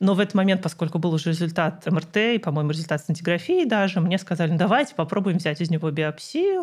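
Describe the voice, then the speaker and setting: Talking very fast with hardly any pauses, a woman with a fairly low pitch sounds somewhat breathy and keeps her loudness very even. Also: ordinary pitch variation. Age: 30s. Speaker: physicist and cancer patient blogger. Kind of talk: interview.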